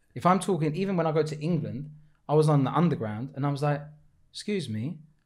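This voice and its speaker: A man with a Cypriot accent speaks at a very fast pace with a fairly high pitch. His pitch varies in an ordinary way, and audible room echo is present. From Cyprus. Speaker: aspiring comedian. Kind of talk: casual chat.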